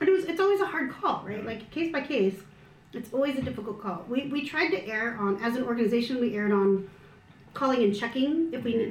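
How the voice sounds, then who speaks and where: With noticeable background noise and audible room echo, a woman with an American accent talks fairly quickly at a fairly high pitch, her intonation lively. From US, Filipino American. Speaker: missiology doctoral student. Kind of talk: casual chat over a meal. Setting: at her home around a meal.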